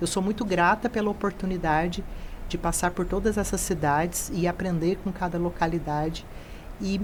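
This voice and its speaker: This woman's voice has a fairly low pitch. She speaks with a Mato Grosso do Sul accent. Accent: Mato Grosso do Sul accent, noticeable. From Mato Grosso do Sul, Brazil. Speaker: college director. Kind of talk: interview.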